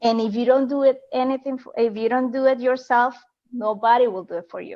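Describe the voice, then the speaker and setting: A non-native accent at a fairly quick pace, with fairly even intonation and big swings in loudness. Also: woman, high pitch for a woman. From Colombia. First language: Spanish. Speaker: online business coach. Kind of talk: interview. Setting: Facebook Live video call. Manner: halting.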